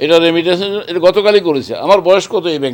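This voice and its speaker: With a normal speaking voice, a man talks and his pitch varies in an ordinary way. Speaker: bank chairman. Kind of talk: media interview.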